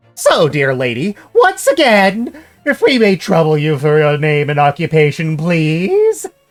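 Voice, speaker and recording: Someone delivers a put-on character voice at a fairly slow pace with hardly any pauses. Faint music plays in the background. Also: man, fairly high pitch for a man. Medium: game stream. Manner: ornate, overly polite.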